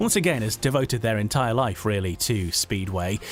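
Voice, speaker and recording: A man talks at a fairly quick pace while music plays in the background. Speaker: podcast host. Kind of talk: podcast interview questions.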